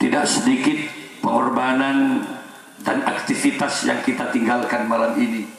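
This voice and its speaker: The voice holds a very even loudness. Audible room echo and noticeable background noise are present. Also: man, moderate pace. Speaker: Islamic preacher. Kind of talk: sermon.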